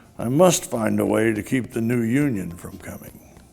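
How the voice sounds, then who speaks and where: Putting on a growling character voice, a man talks at a moderate pace with lively intonation and a medium pitch. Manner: growling, sneering.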